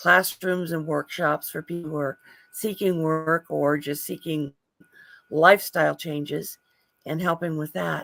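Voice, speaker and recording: Dry and close with no echo, a woman's fairly low voice carries an American accent, a bright, sharp tone and fairly even intonation. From United States. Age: 60s. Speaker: writer and career counselor. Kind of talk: self-introduction on a video call. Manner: hesitant.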